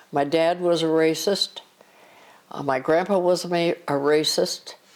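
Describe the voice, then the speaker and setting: A woman with a very deep, low pitch speaks at a fairly slow pace. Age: 80s+. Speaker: grandmother. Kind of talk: family interview.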